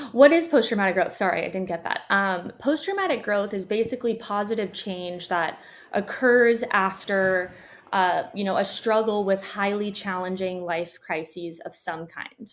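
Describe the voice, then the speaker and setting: Speaking with an American accent, a woman shows ordinary pitch variation. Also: moderate pace. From conservative religious area. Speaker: doctoral psychology student and researcher. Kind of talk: interview. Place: home room.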